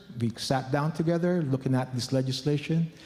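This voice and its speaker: A man's medium-pitched voice is somewhat breathy, with a dark, mellow tone. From Philippines. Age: 50s. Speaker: church leader. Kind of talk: conference talk.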